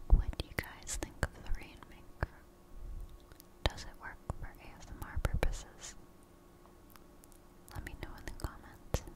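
Whispering in a soothing tone, a woman speaks at a fairly slow pace with long, frequent pauses and big swings in loudness. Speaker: ASMR creator. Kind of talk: ASMR relaxation whisper to camera. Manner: close, soft, whispered, soothing. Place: home room.

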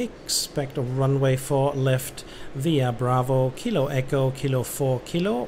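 Amid noticeable background noise, a man speaks very slowly with fairly even intonation and very even loudness. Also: medium pitch for a man. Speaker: gaming streamer playing air traffic controller. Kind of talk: let's-play commentary mixed with ATC radio phraseology. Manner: chatty German asides with frequent äh fillers.

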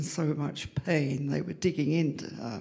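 This woman speaks with an English accent. Her pace is fairly slow. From England, London. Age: 80s+. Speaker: storyteller. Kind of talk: storytelling. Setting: stage with audience. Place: stage. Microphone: handheld.

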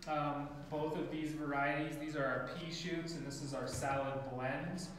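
At a fairly slow pace, a man speaks amid strong room echo and light background noise. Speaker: microgreens farmer. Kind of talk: workshop presentation. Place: classroom. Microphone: camera far.

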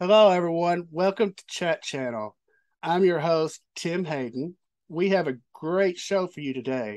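A man talks at a fairly slow pace with lively intonation. The background is quiet. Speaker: show host. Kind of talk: interview show introduction. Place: home room. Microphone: video call.

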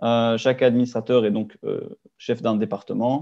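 Speaking at a moderate pace, a man holds a monotone, flat intonation. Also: quiet background. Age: 20s. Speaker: engineering student. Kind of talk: webinar presentation. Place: home room. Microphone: webcam.

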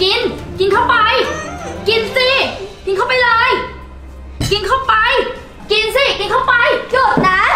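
A woman speaks in a raised, projected voice with faint music in the background. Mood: angry, bullying. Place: home room.

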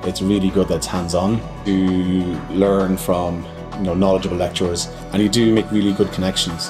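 Clear music plays in the background as a man talks in a very deep, low voice. His pitch varies in an ordinary way, and he leaves long, frequent pauses. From Ireland. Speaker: cellar-door manager. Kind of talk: interview answer. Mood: calm, positive. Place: shop.

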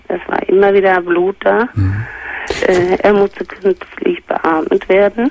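Speaking at a very slow pace, a woman sounds dry and close with no echo, over noticeable background noise. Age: 60s. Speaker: caller. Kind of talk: testimony.

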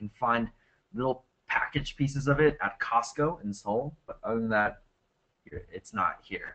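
With an American accent, a man talks at a moderate pace. He has a normal speaking voice and ordinary pitch variation. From United States. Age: 20s. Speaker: English teacher presenting a webinar. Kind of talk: webinar presentation and Q&A. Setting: online webinar. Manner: casual, with many fillers.

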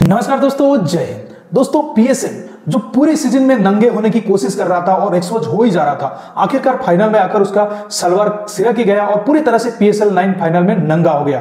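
A man speaks at a fairly quick pace with lively intonation and few pauses, his high pitch carrying a dark, mellow tone over faint background noise.

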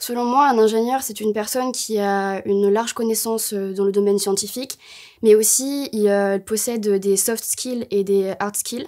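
A woman speaks at a fairly slow pace with a dark, mellow tone. Her intonation stays fairly even against a quiet background. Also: fairly high pitch for a woman. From Bordeaux, southwest France; France. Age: 20s. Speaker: engineering student. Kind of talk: promotional interview. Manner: hesitant, many fillers. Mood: calm, slightly nervous. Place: studio.

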